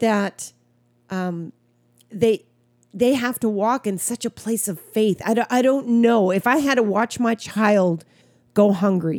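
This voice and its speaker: A woman with an American accent speaks fairly slowly at a fairly high pitch with ordinary pitch variation, on a very clean recording with a silent background and a dry, close sound with no echo. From US Midwest, Wisconsin. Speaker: pastor and podcast co-host. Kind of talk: casual chat.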